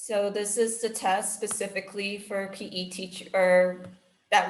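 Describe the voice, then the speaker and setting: Audible room echo surrounds a woman speaking at a fairly slow pace with monotone, flat intonation. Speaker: special education staff trainer. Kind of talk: staff training presentation.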